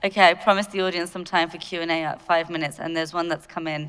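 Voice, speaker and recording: A woman with a British accent, recorded very cleanly against a silent background. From UK. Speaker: panel moderator. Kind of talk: panel moderation. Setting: stage with audience.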